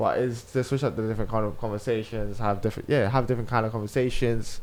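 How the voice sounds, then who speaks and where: Speaking with a London accent, a man goes at a very fast pace in a medium pitch. His intonation is monotone and flat, and his loudness stays very even. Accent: urban London speech. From South London. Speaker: radio presenter and podcast host. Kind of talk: casual chat.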